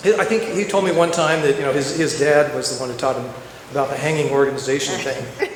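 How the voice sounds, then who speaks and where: With audible room echo and noticeable background noise, a man talks with ordinary pitch variation. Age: 60s. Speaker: eulogy speaker at a memorial. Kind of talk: eulogy. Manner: halting, many repetitions and restarts.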